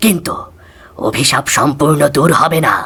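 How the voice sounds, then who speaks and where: In a cartoonish character voice, a man sounds raspy, his pitch fairly high with ordinary variation. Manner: calm, solemn, measured.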